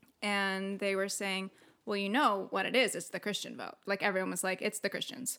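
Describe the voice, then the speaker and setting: With a Californian accent, a woman speaks in a bright, sharp tone and fairly even intonation on a very clean recording with a silent background. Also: medium pitch for a woman, fairly quick pace. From US West Coast, San Diego. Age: 30s. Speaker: former evangelical missionary. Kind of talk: casual interview chat.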